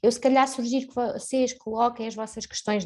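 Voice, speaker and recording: A woman with a European Portuguese accent, a high pitch, a dark, mellow tone and a moderate pace. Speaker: webinar host, marketing staff. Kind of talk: webinar moderation. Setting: live online webinar.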